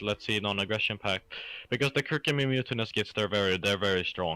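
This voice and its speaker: A man speaks with a Swedish accent and a bright, sharp tone. The sound is dry and close, with no echo. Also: very clean recording, silent background. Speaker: gamer. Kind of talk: casual chat.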